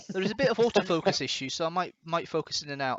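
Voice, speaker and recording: Talking at a very fast pace, a man keeps his pitch varying in an ordinary way. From Scotland. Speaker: livestream host. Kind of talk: casual chat.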